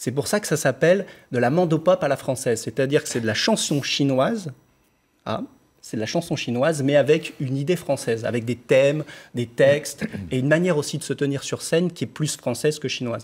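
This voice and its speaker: A man speaks at a fairly quick pace with ordinary pitch variation. His voice is somewhat breathy. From France, Lyon; France. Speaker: pop singer; interviewee. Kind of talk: TV interview. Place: studio.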